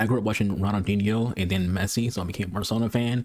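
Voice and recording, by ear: With an American accent, a man talks at a fairly quick pace in a fairly low pitch, his slightly mellow tone showing little pitch movement.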